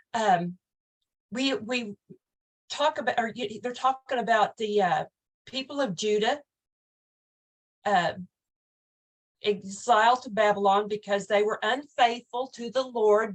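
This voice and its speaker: Fairly slow, fairly high-pitched speech from a woman with an Oklahoma accent, ordinary pitch variation, and long, frequent pauses. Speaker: online Bible study host. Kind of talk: casual Bible study talk. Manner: hesitant, repeats words.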